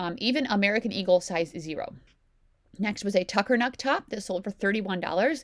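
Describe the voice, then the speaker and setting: Her intonation lively, a woman talks at a fairly quick pace and a medium pitch. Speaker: reseller YouTuber. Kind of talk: casual haul video narration. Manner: fast.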